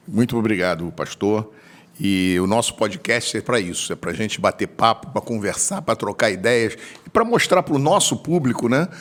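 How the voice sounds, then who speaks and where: A man at medium pitch talks at a moderate pace, his pitch swinging very widely. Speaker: podcast host. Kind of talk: interview.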